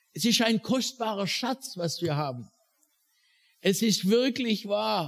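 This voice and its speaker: A man with a high pitch and lively intonation at a very slow pace, in a dry, close sound with no echo. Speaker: preacher; missionary. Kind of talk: sermon, preacher in full flow, impassioned and rhetorical. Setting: church with live audience. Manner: animated, fervent, building intensity.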